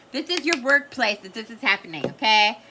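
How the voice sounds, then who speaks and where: A woman uses a raised, projected voice at a moderate pace. Noticeable background noise is present. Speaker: tarot reader. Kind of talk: tarot reading. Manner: loud; casual, frequent okay fillers.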